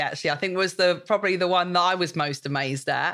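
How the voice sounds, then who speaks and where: A bright, sharp tone carries ordinary rises and falls in pitch. The audio is very clean against total silence. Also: woman. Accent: British. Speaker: podcast host. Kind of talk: casual interview.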